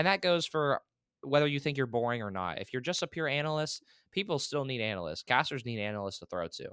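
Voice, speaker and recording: Loud and energetic, a man with a fairly high, bright, sharp voice talks at a very fast pace with very wide pitch swings, in a very clean recording with a silent background and a dry, close sound with no echo. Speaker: esports caster and program director. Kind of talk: interview. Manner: loud, energetic.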